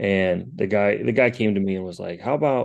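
In a plain, everyday voice, a man with a fairly low pitch speaks at a fairly slow pace with ordinary pitch variation against a quiet background. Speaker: fantasy football podcast co-host. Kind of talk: casual sports chat.

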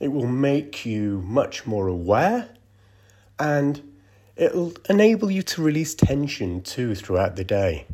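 In a very clean recording with a silent background, a man talks very slowly in a calm, soothing tone, his pitch swinging very widely. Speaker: meditation guide. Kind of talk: guided meditation. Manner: slow, calm and soothing, with long pauses; gentle, soft-spoken.

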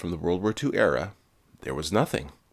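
Very wide pitch swings and vocal fry mark this man's speech with an American accent. The recording is very clean, with a silent background. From Quebec, Canada. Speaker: podcast host. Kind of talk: scripted narration.

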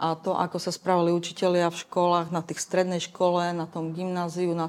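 A woman speaks at a fairly low pitch and a moderate pace, in a monotone with flat intonation. The recording is very clean, with a silent background. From eastern Slovakia, Košice. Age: 50s. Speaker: LGBT activist. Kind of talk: interview.

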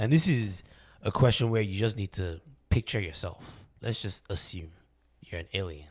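A man speaks at a moderate pace in a fairly low, somewhat breathy voice with ordinary pitch variation and long, frequent pauses, on a very clean recording with a silent background. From Nigeria. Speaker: podcast host. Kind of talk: casual chat. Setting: studio.

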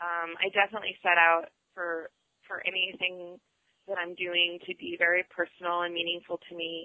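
A woman at a fairly low pitch, moving at a moderate pace. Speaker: artist and curator. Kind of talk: casual chat.

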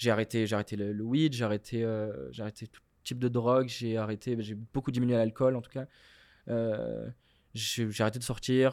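Here a man speaks in a plain, everyday voice at medium pitch. His pace is moderate, his intonation fairly even, and his loudness swings a lot. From Morocco. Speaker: comedian. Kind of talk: casual chat.

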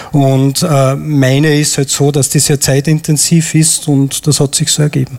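Somewhat breathy and fairly high in pitch, a man speaks at a fairly slow pace. His intonation is monotone and flat, and his loudness stays very even. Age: 40s. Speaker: airline pilot, audience volunteer. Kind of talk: live stage interview. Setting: stage with audience.

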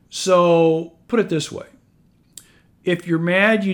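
A man speaks with a Midwestern American accent. The recording is very clean, with a silent background. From US Midwest, north central Iowa. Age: 50s. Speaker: real estate investor and podcast host. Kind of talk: solo podcast monologue. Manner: animated.

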